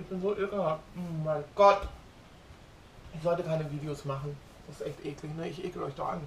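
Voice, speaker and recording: A woman with a very deep, low pitch speaks at a moderate pace with long, frequent pauses, amid light background noise and audible room echo. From Germany. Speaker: vlogger; home vlogger. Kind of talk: casual vlog monologue. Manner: animated. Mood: opinionated, worked up. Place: kitchen.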